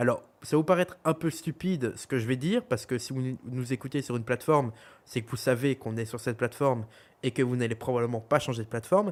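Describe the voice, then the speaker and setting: A fairly high-pitched man with a Belgian accent at a fairly quick pace, in a very clean recording with a silent background. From Belgium. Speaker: podcast co-host. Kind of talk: casual chat. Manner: hesitant, many fillers.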